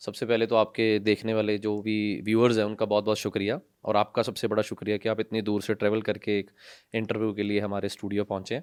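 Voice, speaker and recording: Against a quiet background, a man with a Punjabi accent talks at a moderate pace in a fairly low pitch with monotone, flat intonation. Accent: Punjabi-accented Hindi. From Punjab, India. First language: Punjabi (speaking Hindi). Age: 20s. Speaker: NGO founder and social worker. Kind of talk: podcast interview. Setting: studio.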